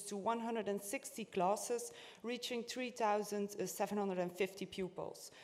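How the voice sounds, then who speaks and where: A woman speaks in a plain, everyday voice. Her pace is moderate and her pitch variation ordinary. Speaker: conference speaker. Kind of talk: conference presentation.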